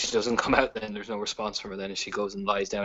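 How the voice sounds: A passage is read out. The reading voice sounds natural.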